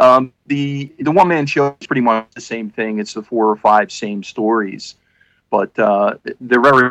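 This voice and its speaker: At a fairly slow pace, a man uses a normal speaking voice of medium pitch with ordinary pitch variation. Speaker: podcast co-host. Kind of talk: casual chat. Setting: video call.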